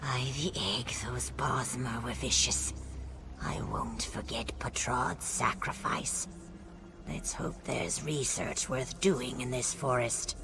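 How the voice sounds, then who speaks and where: A put-on character voice, whispering at a fairly slow pace over loud background noise. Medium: video game.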